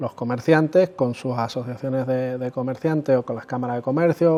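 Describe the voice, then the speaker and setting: A man with an Andalusian accent speaks at a fairly quick pace with hardly any pauses. His pitch is medium, with ordinary variation. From Andalusia, Spain. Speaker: consumer association president. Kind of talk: interview. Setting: chamber of commerce office. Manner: hesitant, repeats words.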